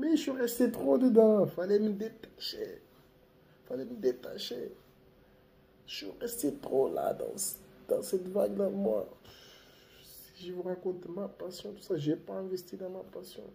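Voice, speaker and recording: A man's fairly slow delivery, with long, frequent pauses and big swings in loudness. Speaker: YouTuber giving life advice. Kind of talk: casual vlog monologue. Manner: relaxed, laid-back.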